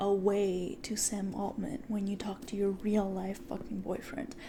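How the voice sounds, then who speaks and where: A soft-spoken man with a high pitch talks in a fairly even intonation over noticeable background noise. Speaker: ASMR creator. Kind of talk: ASMR podcast talk.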